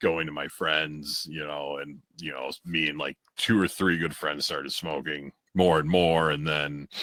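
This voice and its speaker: Very deep and low in pitch, a man with an American accent has a bright, sharp tone and fairly even intonation at a moderate pace. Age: 40s. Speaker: podcast co-host. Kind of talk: casual chat.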